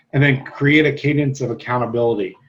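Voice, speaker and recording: A somewhat breathy man's voice with monotone, flat intonation. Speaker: real estate trainer. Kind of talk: lecture. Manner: casual, filler-heavy.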